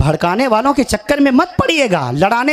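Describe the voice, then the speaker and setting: A man speaks at a moderate pace with an extremely high pitch and very wide pitch swings. Noticeable background noise runs under the recording. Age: 20s. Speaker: Islamic preacher. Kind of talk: religious speech at a gathering. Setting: stage with audience. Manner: declamatory, repetitive oratory.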